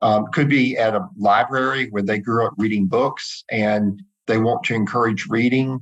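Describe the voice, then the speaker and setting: A man speaks at medium pitch and a moderate pace. His loudness stays very even, with ordinary pitch variation. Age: 60s. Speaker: charitable giving advisor. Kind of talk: interview. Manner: hesitant, many fillers.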